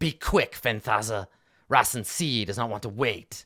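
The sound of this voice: A man puts on a character voice at a medium pitch and a moderate pace. There is hissing, though the recording is very clean with a silent background.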